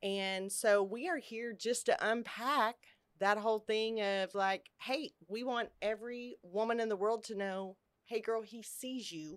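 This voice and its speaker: Speaking in an ordinary speaking voice at a fairly slow pace, a woman with fairly high pitch shows ordinary pitch variation on a very clean recording with a silent background. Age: 50s. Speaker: podcast host, recovering addict. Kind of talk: casual chat. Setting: studio, office building.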